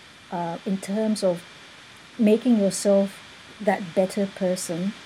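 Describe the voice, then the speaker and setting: A woman speaks with a medium pitch. Noticeable background noise runs behind her. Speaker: interviewer host of coaching show. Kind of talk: interview, energetic intro. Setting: live video/online broadcast.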